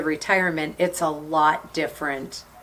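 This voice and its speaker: Noticeable background noise is heard as a woman talks at a fairly slow pace. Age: 60s. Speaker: podcast co-host. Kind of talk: casual chat.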